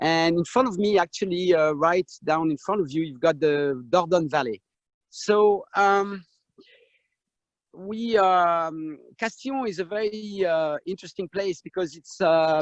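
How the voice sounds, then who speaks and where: Dry and close with no echo, a man with a French accent talks in a high pitch for a man at a fairly slow pace, with ordinary pitch variation. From France, Saint-Emilion. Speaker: winemaker. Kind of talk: vineyard tour presentation. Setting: video call, outdoors in vineyard.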